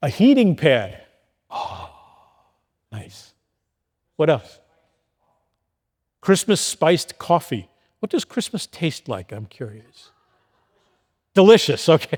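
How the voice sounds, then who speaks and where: A man speaks very slowly with vocal fry, fairly high pitch and very wide pitch swings, leaving long, frequent pauses. The sound is dry and close with no echo, in a very clean recording over a silent background. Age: 60s. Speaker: pastor. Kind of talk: sermon. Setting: church with congregation.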